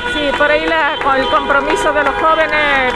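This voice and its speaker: A woman's raised, projected, high-pitched voice with ordinary pitch variation at a moderate pace, with music in the background and audible room echo. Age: 60s. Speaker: protester. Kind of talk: street interview.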